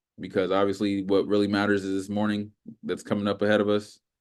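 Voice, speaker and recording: A man's fairly low voice at a fairly quick pace, flat and monotone, over a quiet background. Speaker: trading instructor. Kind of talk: tutorial. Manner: fast; casual.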